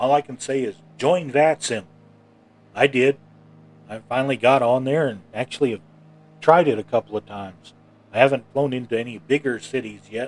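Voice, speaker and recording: Medium-pitched man at a moderate pace, with long, frequent pauses, big swings in loudness, ordinary pitch variation and a dry, close sound with no echo. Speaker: flight sim streamer. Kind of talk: live gameplay commentary. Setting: home studio. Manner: halting.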